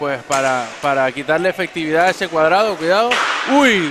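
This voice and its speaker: There is noticeable background noise behind this man. He talks at a moderate pace with a fairly high pitch. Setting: sports arena (hockey pavilion).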